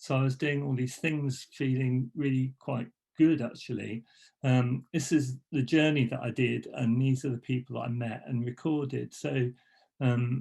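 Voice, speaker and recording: The voice is somewhat breathy with a dark, mellow tone. Intonation stays fairly even at a fairly slow pace. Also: man, medium pitch for a man. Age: 60s. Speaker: graphic designer and letterpress printer. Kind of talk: presentation talk. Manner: halting, many fillers and restarts.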